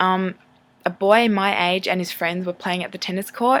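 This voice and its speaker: On a very clean recording with a silent background, a woman with an Australian accent speaks at medium pitch and a moderate pace in a bright, sharp tone. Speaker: vlogger. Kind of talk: personal testimony vlog.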